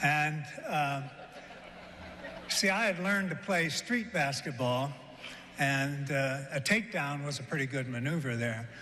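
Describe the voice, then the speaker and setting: With a Midwestern accent, a man talks at a fairly slow pace with a fairly high pitch and lively intonation, leaving long, frequent pauses amid audible room echo. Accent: American Midwest. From Kansas, US. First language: German. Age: 70s. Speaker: award recipient, physical education figure. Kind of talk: award acceptance speech. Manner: hesitant, many fillers.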